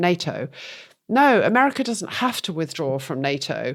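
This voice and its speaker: A woman is speaking. She has a strong British accent. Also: very clean recording, silent background. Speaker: podcast co-host. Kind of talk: casual political discussion.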